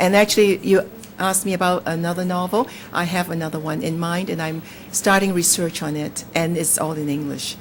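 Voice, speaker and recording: Over noticeable background noise, a woman with a Cantonese accent speaks at a fairly low pitch with fairly even intonation. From Hong Kong. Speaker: novelist. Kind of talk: interview. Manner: halting.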